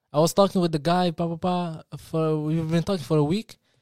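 With a non-native accent, a man speaks at a fairly high pitch in a dark, mellow tone on a very clean recording with a silent background. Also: dry, close sound with no echo. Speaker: podcast co-host. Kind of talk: casual chat. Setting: live stream. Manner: fast talker; stutters when speaking fast.

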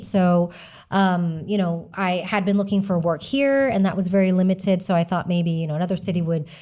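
In a very clean recording with a silent background, a woman with an American accent talks at medium pitch in a normal speaking voice. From Texas. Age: 40s. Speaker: author and community founder. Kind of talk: casual interview chat.

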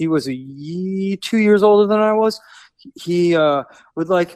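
A high-pitched man in an American accent talks at a fairly slow pace with ordinary pitch variation. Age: 40s. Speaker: rock musician. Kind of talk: interview.

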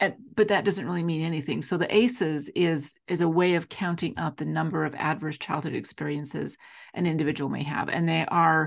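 A woman speaks with a very deep, low pitch and vocal fry. The background is quiet. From Utah (Salt Lake City). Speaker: foster care trainer. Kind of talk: interview conversation.

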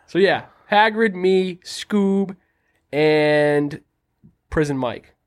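Using an American accent, a man speaks at a very slow pace with long, frequent pauses. His pitch is high, with ordinary pitch variation. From Quincy, Massachusetts. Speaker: podcast co-host. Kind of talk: casual chat.

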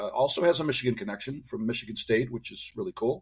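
Speaking with an American accent, a man uses lively intonation at a medium pitch, his voice somewhat breathy. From US Midwest, Detroit. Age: 60s. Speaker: radiologist and author. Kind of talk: interview.

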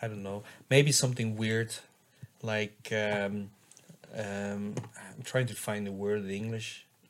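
A man's fairly low, flat monotone at a very slow pace, broken by long, frequent pauses. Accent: Flemish. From Belgium. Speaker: dance music producer and DJ. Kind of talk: casual chat. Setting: hotel room.

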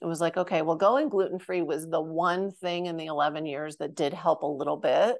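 With hardly any pauses, a woman with a normal speaking voice talks fairly quickly at a fairly low pitch, keeping her intonation fairly even. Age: 50s. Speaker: functional medicine autoimmune coach. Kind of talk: casual interview.

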